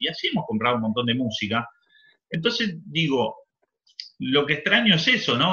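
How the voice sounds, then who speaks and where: A man's Argentine-accented voice with very wide pitch swings. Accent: Rioplatense Argentine Spanish. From Argentina. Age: 40s. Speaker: DJ and rapper. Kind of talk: interview. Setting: remote call.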